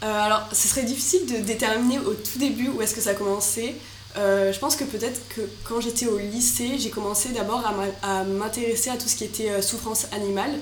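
Speaking at a fairly quick pace, a woman with a fairly high voice keeps a fairly even intonation amid noticeable background noise and audible room echo. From Marseille, southern France. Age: 20s. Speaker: business student and startup founder. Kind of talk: interview.

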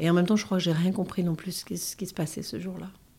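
A woman talks in a fairly low pitch, her tone dark and mellow. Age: 50s. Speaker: bereaved mother. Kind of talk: testimony. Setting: in-person recording in Paris. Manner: halting.

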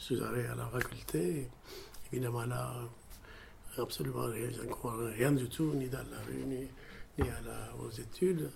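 A man's fairly slow speech, with long, frequent pauses and audible room echo. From Ethiopia. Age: 70s. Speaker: surgeon. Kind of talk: interview testimony. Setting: at his home. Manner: halting.

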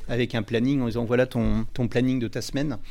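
Dark and mellow in tone, a man at medium pitch talks at a very fast pace. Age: 40s. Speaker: company executive. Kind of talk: interview. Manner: halting, with many fillers.

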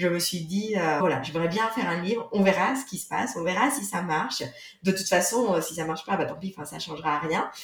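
A woman speaks at a fairly quick pace in a fairly low pitch, with audible room echo and noticeable background noise. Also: ordinary pitch variation. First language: not French (speaking French). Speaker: author of a yoga book. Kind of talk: casual interview.

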